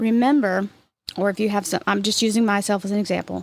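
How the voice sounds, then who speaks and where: Recorded very cleanly against a silent background, a woman talks at a fairly quick pace with medium pitch and fairly even intonation. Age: 50s. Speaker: spiritual podcast host. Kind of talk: spiritual talk. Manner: reflective.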